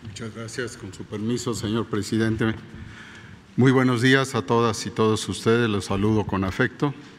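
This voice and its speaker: Speaking at a moderate pace, a man has an ordinary speaking voice, medium pitch and fairly even intonation. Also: big swings in loudness. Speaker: health minister. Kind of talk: press briefing. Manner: formal.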